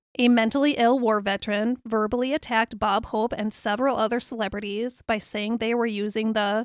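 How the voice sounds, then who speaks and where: In a very clean recording with a silent background and a dry, close sound with no echo, a woman with a normal speaking voice talks at a moderate pace and a fairly high pitch. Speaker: podcast host. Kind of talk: biographical podcast narration. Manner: upbeat, conversational.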